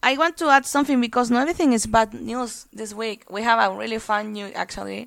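A woman with a fairly high pitch talks very fast, with ordinary pitch variation and big swings in loudness, in a very clean recording with a silent background. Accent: Spanish. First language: Spanish. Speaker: podcast co-host. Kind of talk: casual chat. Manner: halting.

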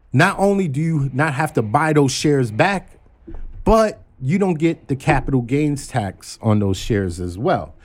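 A man with an American accent speaks at a fairly high pitch, his voice swinging very widely up and down. The recording is very clean, with a silent background. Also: fairly slow pace. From Brooklyn, New York (Flatbush). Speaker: executive recruiter and stock-trading enthusiast. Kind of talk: casual chat. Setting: studio.

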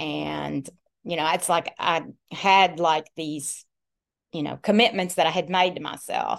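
Vocal fry runs through a woman's fairly low voice. She speaks at a fairly slow pace. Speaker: guest sharing weight loss story. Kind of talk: casual interview chat. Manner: funny, animated, jokey.

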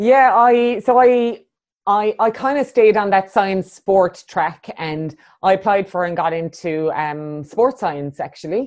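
With an Irish accent and lively intonation, a woman of medium pitch speaks at a fairly slow pace against a quiet background. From Ireland, Cork. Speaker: coach and facilitator. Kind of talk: interview.

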